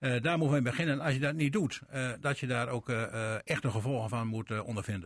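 The man's pitch is medium and varies in an ordinary way. He talks very fast. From Veenkoloniën, Groningen/Drenthe. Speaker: former party chair, radio panelist. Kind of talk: radio panel discussion.

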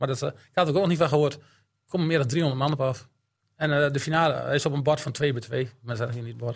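A man talks at a very fast pace in a fairly high pitch, somewhat breathy. His intonation stays fairly even while his loudness swings widely. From Drenthe, Netherlands (Elim). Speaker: amateur football coach and snack bar owner. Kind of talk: casual chat.

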